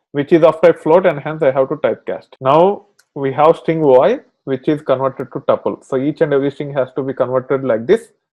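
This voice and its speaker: Speaking at a fairly quick pace, a man uses a plain, everyday voice with ordinary pitch variation. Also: fairly high pitch for a man. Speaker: programming instructor. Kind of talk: tutorial.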